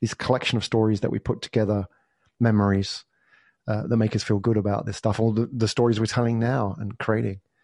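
Over a quiet background, a man with a southern English accent speaks at a fairly quick pace and fairly low pitch in monotone, flat intonation. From southern England. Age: 40s. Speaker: entrepreneur and podcast agency founder. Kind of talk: interview conversation.

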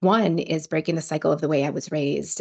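Against a quiet background, a woman talks at a very fast pace in a very deep, low pitch. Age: 40s. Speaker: podcast host, adoptee. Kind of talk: casual interview chat; scripted monologue intro.

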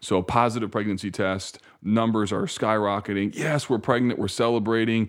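A man's plain, everyday voice, fairly low in pitch, at a fairly quick pace with fairly even intonation. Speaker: pastor. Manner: articulate.

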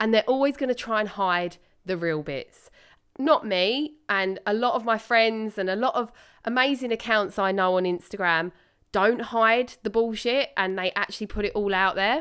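A woman with a British accent speaks at a fairly high pitch and a moderate pace, with ordinary pitch variation. The recording is very clean, with a silent background. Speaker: personal trainer and podcast host. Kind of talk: solo podcast monologue. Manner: animated, casual.

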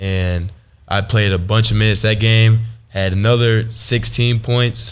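At a moderate pace, a man with an American accent speaks at a fairly low pitch amid audible room echo. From Texas, Plano (Dallas area). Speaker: college basketball player. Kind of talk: interview. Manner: animated.

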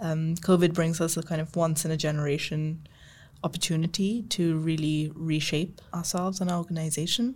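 A somewhat breathy, fairly low-pitched woman's voice at a moderate pace, fairly even in intonation, on a very clean recording with a silent background. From India and the UK. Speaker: manager in digital enablement. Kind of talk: podcast conversation.

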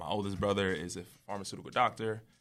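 Speaking at a very fast pace with a New York accent, a man keeps a fairly low pitch and fairly even intonation. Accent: New York American English. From US Northeast, Long Island, New York. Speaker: former football player. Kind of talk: interview.

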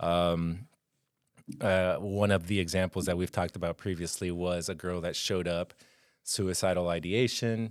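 Speaking at a moderate pace, a man uses a very deep, low pitch and fairly even intonation. The recording is very clean, with a silent background. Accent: slight Colombian. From Colombia. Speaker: wilderness therapy guide. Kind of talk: casual chat. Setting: studio.

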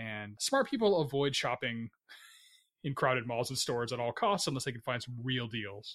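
In a normal speaking voice of medium pitch with ordinary pitch variation, a man speaks at a moderate pace on a very clean recording with a silent background. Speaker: podcast host. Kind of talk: casual chat.

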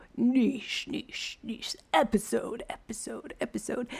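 A female-sounding, put-on character voice is pitched fairly high. It moves at a fairly slow pace.

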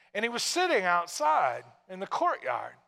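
A man with an American accent uses a raised, projected voice with a bright, sharp tone and very wide pitch swings. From Tennessee, US South. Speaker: pastor. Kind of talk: sermon. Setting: church. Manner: informal, halting, repeats words.

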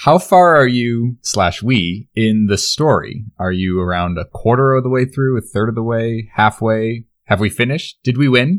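An unremarkable speaking voice moves at a moderate pace with lively intonation and hardly any pauses. The recording is very clean, with a silent background and a dry, close sound with no echo. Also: man, medium pitch for a man. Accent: American. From Oregon, US. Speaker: podcast cast member and player. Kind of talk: casual chat. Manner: joking, playful.

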